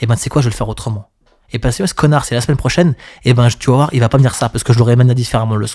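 Somewhat breathy, the voice moves at a very fast pace with ordinary pitch variation. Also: man, medium pitch for a man. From Paris region, France. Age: middle-aged. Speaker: club DJ. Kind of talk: casual interview chat. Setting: studio.

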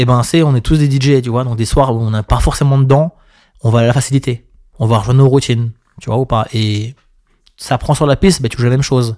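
A man at medium pitch with a dark, mellow tone, fairly quick pace, fairly even intonation and long, frequent pauses, dry and close with no echo, on a very clean recording with a silent background. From Paris region, France. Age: middle-aged. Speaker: club DJ. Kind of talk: casual interview chat. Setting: studio.

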